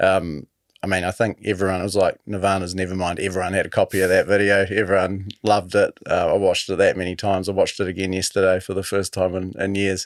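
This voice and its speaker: With a New Zealand accent, a man with a very deep, low pitch races along at a very fast pace, hardly pausing, in a monotone, flat intonation. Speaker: podcast host. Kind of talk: interview.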